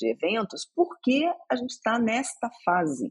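A woman's voice comes through somewhat breathy. The sound is dry and close, with no echo. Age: 50s. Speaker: journalist. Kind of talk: podcast interview. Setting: studio.

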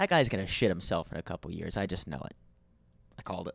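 A man speaks with an American accent. The recording is very clean with a silent background and a dry, close sound with no echo. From West Virginia. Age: 20s. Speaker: podcast host. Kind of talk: solo podcast monologue. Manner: casual.

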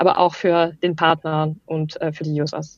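The background stays quiet. A woman talks in a fairly low voice. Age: 30s. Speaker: startup managing director. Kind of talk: interview. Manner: halting.

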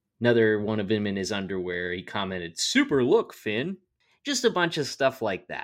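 Against a silent background in a very clean recording, a man with an ordinary speaking voice talks at a fairly low pitch with lively intonation. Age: 30s. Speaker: podcast co-host. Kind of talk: casual chat.

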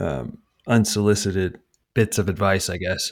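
This man has a fairly low voice. There is a very clean recording with a silent background. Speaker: podcast co-host and editor. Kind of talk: casual chat. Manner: sounds condescending.

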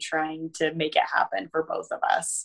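In an ordinary speaking voice, a woman talks at a fairly slow pace with fairly low pitch. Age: 30s. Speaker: ski mountaineering racer and coach. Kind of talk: casual chat.

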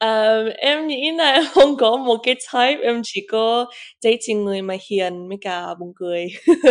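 At a fairly slow pace, a woman speaks with a fairly high pitch and lively intonation. Her loudness swings widely. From England. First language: English (speaking Vietnamese). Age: 20s. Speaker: business owner. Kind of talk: casual interview. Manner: halting, code-switching Vietnamese and English.

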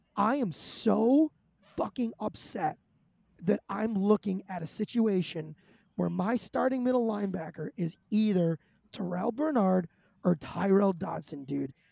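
A woman's raspy, put-on character voice at a moderate pace, with a dry, close sound and no echo. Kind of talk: casual sports talk. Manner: ranting, swearing.

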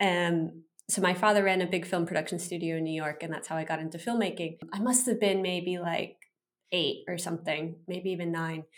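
A woman talks at a fairly quick pace in a normal speaking voice, her pitch fairly low and her intonation fairly even. The recording is very clean, with a silent background. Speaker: podcast host. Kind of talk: interview conversation.

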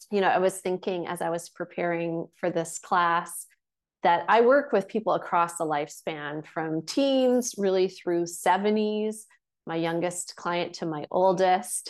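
Against a quiet background, a woman talks at a fairly slow pace. She has an ordinary speaking voice, fairly low in pitch, with ordinary pitch variation. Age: 40s. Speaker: intimacy and meditation teacher. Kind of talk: online workshop talk.

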